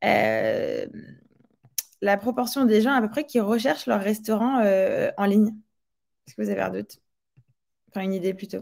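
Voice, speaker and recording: This woman talks at a fairly slow pace, leaving long, frequent pauses. Her loudness swings widely. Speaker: tech company CEO. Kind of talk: webinar presentation. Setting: online webinar.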